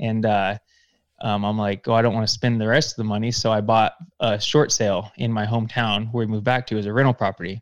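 Very fast male speech with an American accent, medium pitch, and a dry, close sound with no echo. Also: fairly even intonation. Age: 30s. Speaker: real estate investor. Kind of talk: interview podcast. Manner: halting.

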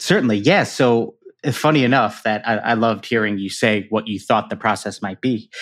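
At a fairly quick pace, a man with an American accent speaks at a medium pitch with fairly even intonation. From Chicago, US Midwest. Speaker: shoe artist. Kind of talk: interview.

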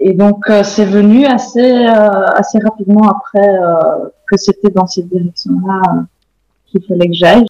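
A woman speaks at a medium pitch and fairly slow pace, her tone dark and mellow. Her intonation stays fairly even, and the sound is dry and close with no echo. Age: 30s. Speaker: stay-at-home mother and baby/animal communication trainer. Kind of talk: interview testimony. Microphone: poor recording quality.

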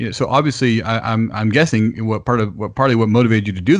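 Here is a man with an ordinary speaking voice, fairly low in pitch with fairly even intonation. He talks at a fairly quick pace against a quiet background. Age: 30s. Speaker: podcast host. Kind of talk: interview.

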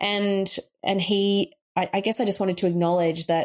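On a very clean recording with a silent background, a woman with an Australian accent speaks at a fairly quick pace. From rural Queensland, Australia. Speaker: coach and author. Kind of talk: interview conversation.

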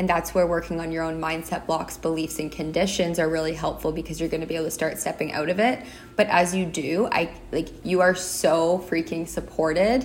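Over noticeable background noise, a woman talks at a fairly quick pace in a fairly low pitch, her intonation fairly even. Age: 30s. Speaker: spiritual wellness podcast host. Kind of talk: solo monologue, personal reflection.

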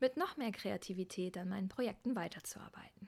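This woman talks at a moderate pace. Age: 30s. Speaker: podcast host, yoga teacher. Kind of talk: solo monologue podcast. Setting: outdoors on Pacific coast. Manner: animated.

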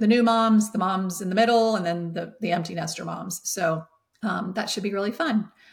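A woman's medium-pitched, somewhat breathy voice at a moderate pace, with ordinary pitch variation on a very clean recording with a silent background. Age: 50s. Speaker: holistic health coach, former educator. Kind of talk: casual interview chat.

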